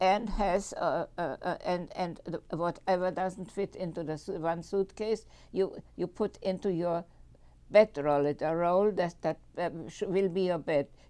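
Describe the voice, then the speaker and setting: In a very clean recording with a silent background, a woman with a German accent speaks with a dark, mellow tone at a fairly slow pace. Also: fairly low pitch for a woman, fairly even intonation. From Germany, Munich. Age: 90s. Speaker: Holocaust survivor. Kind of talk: testimony. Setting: public library talk. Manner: halting, many fillers and repetitions.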